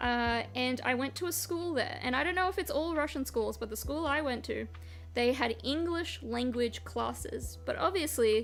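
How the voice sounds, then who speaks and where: A woman with an American accent speaks at a moderate pace over music in the background. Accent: Australian with a slight American tinge. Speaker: streamer. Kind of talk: casual chat.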